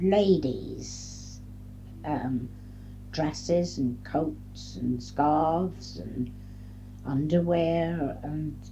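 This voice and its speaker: Somewhat breathy and very deep, low in pitch, a woman speaks at a very slow pace with long, frequent pauses. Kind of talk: oral history interview answer. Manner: hesitant, reflective.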